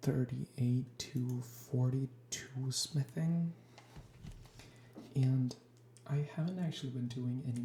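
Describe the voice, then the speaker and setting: A woman speaks at a very slow pace with a very deep, low pitch and a dark, mellow tone. Her intonation is fairly even, somewhat breathy, with long, frequent pauses. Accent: American. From Sweden. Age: 20s. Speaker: ASMR youtuber, gamer. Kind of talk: ASMR gaming chat. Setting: sparse, nearly empty room at home. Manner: soft-spoken. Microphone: cheap equipment.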